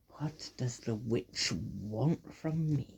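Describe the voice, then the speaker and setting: A man's put-on character voice at a medium pitch. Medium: read story. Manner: uncertain, questioning.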